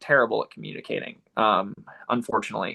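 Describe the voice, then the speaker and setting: A man with a Southern US accent. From Florida. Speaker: distance runner and running coach. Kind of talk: casual interview chat.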